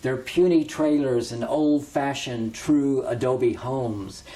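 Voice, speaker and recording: A man of medium pitch with fairly even intonation, amid noticeable background noise. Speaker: poet. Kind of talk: poetry reading. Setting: greenhouse.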